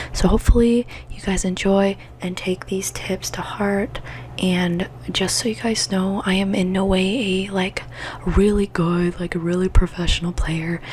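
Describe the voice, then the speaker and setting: Someone soft-spoken talks at a moderate pace over noticeable background noise. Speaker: gaming ASMR creator. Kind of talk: soft-spoken ASMR gaming tips.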